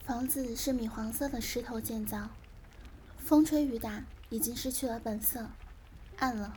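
A woman speaks at a fairly slow pace with long, frequent pauses, her fairly high voice dark and mellow in tone and her intonation fairly even. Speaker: amateur podcaster reading books aloud. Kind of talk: reading aloud, dramatic literary narration of a memoir, hushed bedtime ASMR style. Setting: recorded directly into a computer, no microphone. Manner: slow, soft-spoken, wistful and atmospheric.

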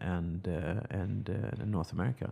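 Over a silent background in a very clean recording, a man with a Swedish accent speaks slowly-ish at a fairly slow pace, his very deep, low pitch showing ordinary variation. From Sweden. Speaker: chemical company executive. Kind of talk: business interview. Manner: halting, many repeated words.

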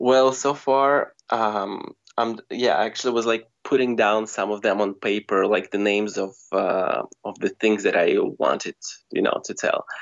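A man speaks with a Russian accent at a fairly slow pace. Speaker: screenwriter. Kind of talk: casual interview chat. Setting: phone call.

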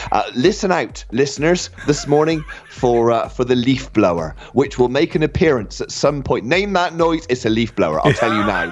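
At a moderate pace and over noticeable background noise, a man speaks at medium pitch with very wide pitch swings. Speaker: radio host. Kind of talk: live educational radio show. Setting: studio. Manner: animated.

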